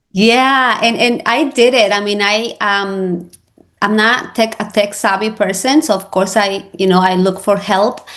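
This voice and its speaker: This woman speaks with a Spanish accent and ordinary pitch variation. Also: medium pitch for a woman, fairly slow pace. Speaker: real estate agent and social media coach. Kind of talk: interview. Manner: halting.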